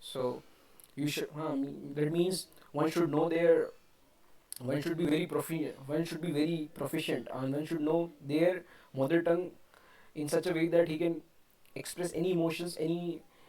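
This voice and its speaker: A dark, mellow voice with an Indian accent speaks at a moderate pace in a flat monotone, broken by long, frequent pauses. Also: man, fairly high pitch for a man. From India, Rajasthan. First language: Hindi. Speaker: English learner vlogger. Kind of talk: unscripted monologue, speaking practice. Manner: halting, many fillers and restarts.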